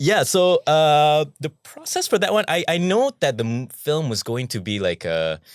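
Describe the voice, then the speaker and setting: In a very clean recording with a silent background and a dry, close sound with no echo, a man with a Malaysian accent speaks at a moderate pace in a fairly high voice with very wide pitch swings. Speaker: actor. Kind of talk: podcast interview. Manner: hesitant, with many fillers.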